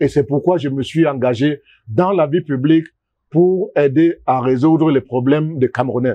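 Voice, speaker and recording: There's ordinary pitch variation in this man's fairly high voice, an ordinary speaking voice. He talks at a moderate pace. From Cameroon, Douala and Sanaga-Maritime. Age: 60s. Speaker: economist and political candidate. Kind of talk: interview.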